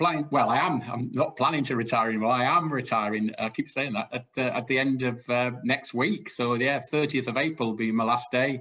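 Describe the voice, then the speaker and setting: A man speaks with a Welsh accent. His pace is fairly quick and his pitch medium. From South Wales. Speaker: retiring sports organisation director. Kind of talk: casual interview chat. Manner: hesitant, many fillers.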